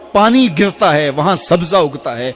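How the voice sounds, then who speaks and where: Over music in the background, a man speaks at a high pitch with very wide pitch swings. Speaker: Islamic preacher. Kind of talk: Islamic sermon (bayan), emotional preaching to an audience. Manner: emotional, devotional.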